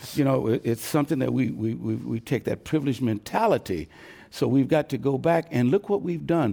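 A man with an American accent, medium pitch, a dark, mellow tone, vocal fry, lively intonation and a fairly quick pace. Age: 70s. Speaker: pastor and civil rights veteran. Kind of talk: panel discussion. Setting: stage with audience.

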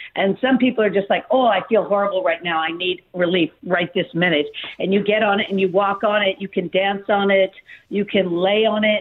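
A woman with an American accent has an ordinary speaking voice, speaking at medium pitch and a fairly quick pace with fairly even intonation. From Malibu, California. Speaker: company co-founder. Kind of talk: interview.

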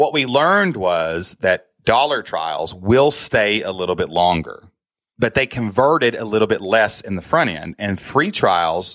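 A man with a Kentucky accent, very wide pitch swings, and a moderate pace. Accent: Kentucky Southern US. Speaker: online business owner and podcaster. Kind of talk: casual interview conversation. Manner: casual, animated.

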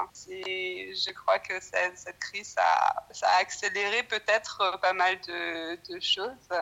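Noticeable background noise sits under a woman who speaks at a very slow pace with hardly any pauses and big swings in loudness. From France. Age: young. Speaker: researcher. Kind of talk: casual chat. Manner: halting.

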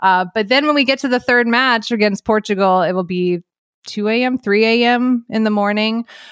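A woman speaks at a moderate pace with ordinary pitch variation in an unremarkable speaking voice, the sound dry and close with no echo, the recording very clean with a silent background. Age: 40s. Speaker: sports journalist. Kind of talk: casual chat.

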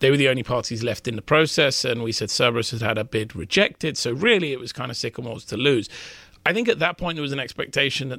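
Talking at a very fast pace, a man with a British accent has a bright, sharp tone and ordinary pitch variation. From United Kingdom. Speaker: M&A reporter. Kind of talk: interview about business deals. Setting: studio.

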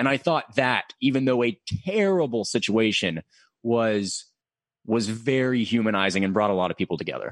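With an American accent and a normal speaking voice, a man speaks at a moderate pace and medium pitch, his loudness very even and the sound dry and close with no echo. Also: very clean recording, silent background. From Middle Tennessee, US South (Murfreesboro). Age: 20s. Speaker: radio news anchor. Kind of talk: casual interview.

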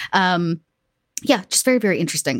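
In a very clean, dry, close recording with a silent background and no echo, a woman with an American accent speaks at a very fast pace and a fairly low pitch. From US South, south Georgia. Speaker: streaming and podcast producer, tabletop gamer. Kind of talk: casual chat. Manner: halting, many fillers.

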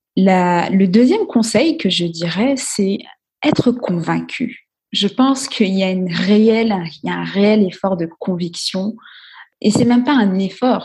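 A somewhat breathy woman's voice at a fairly slow pace with ordinary pitch variation. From Guadeloupe. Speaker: entrepreneur and investor. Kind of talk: podcast interview.

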